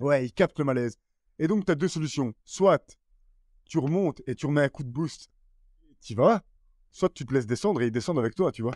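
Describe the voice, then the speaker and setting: A man talks at a fairly quick pace in a fairly high pitch, with lively intonation and long, frequent pauses. The sound is dry and close with no echo. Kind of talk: casual spoken French.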